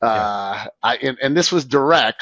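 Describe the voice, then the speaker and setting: In an ordinary speaking voice, a man talks at a moderate pace and a medium pitch. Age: 50s. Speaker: moving company owner. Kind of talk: casual chat. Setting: video podcast.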